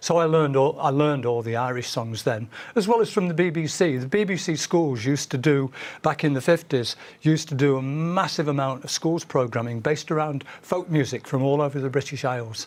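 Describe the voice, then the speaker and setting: Talking at a fairly quick pace, a man with a Manchester accent uses a fairly high pitch and ordinary pitch variation. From northern England, Manchester. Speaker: folk singer. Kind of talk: interview.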